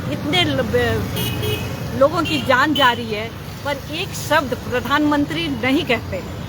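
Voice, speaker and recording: Room echo is clearly audible as a woman talks. Background noise is noticeable throughout. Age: 70s. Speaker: protester. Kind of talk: street interview.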